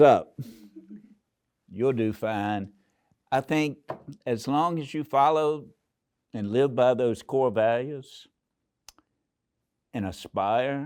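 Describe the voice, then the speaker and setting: On a very clean recording with a silent background, a dark, mellow voice moves very slowly with ordinary pitch variation and long, frequent pauses. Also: man. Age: 80s+. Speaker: university president. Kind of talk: interview.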